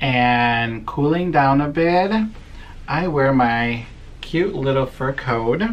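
The speech moves at a very slow pace over light background noise. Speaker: vlogger. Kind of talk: casual vlog chat. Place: office. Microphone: phone near.

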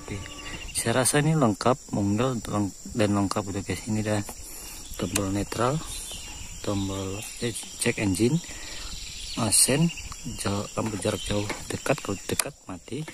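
Against faint background noise, a man with a fairly low voice talks at a fairly slow pace with ordinary pitch variation.

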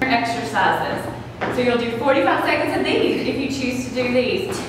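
Noticeable background noise and strong room echo surround a woman speaking at a fairly quick pace. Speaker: fitness instructor. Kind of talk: workout tutorial instruction. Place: gym.

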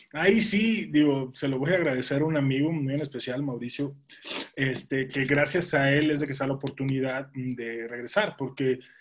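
Speaking at a moderate pace, a man uses a fairly high pitch with ordinary pitch variation. The background is quiet. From Mexico, Monterrey; Nuevo León, Mexico. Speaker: former pro football player and sports commentator; guest. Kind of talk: interview. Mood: relaxed, animated storytelling. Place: home room. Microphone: video call.

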